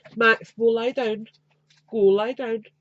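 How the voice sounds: A woman speaks slowly in a nasal voice with fairly high pitch. The sound is dry and close with no echo, and her intonation stays fairly even.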